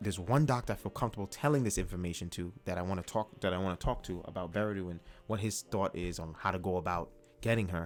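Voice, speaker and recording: A man speaks at a very fast pace with a very deep, low pitch and ordinary pitch variation. Music plays in the background. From Ghana. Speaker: YouTube live streamer. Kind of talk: casual storytelling on live stream. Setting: live stream. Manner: animated.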